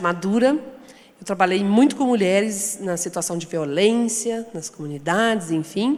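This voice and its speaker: A woman speaks at a fairly slow pace and a medium pitch, with ordinary pitch variation. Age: 60s. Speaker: founder of women's construction training institute. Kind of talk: panel discussion.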